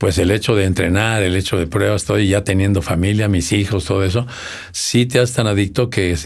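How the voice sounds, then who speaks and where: This man has a very deep, low voice and talks at a moderate pace. His intonation stays fairly even. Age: 70s. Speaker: triathlete. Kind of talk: interview answer.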